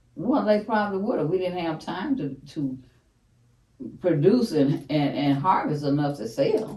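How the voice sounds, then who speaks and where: A woman's somewhat breathy, fairly low-pitched voice in a dark, mellow tone, at a fairly slow pace with very wide pitch swings. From US South, plantation area. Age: 80s+. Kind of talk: interview answer, life story.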